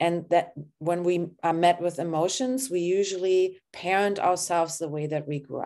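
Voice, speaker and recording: A dark, mellow voice with a German accent comes through a very clean recording with a silent background. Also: woman, fairly low pitch for a woman, ordinary pitch variation. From Germany. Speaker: therapist and coach. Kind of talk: guided body-scan session; casual interview chat. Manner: slow, calm guiding.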